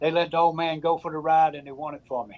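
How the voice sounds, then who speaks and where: A man with a Southern US accent talks at a fairly quick pace in a fairly high voice. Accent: Southern US (Georgia). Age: 70s. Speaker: high school baseball coach. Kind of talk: TV interview. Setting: TV studio.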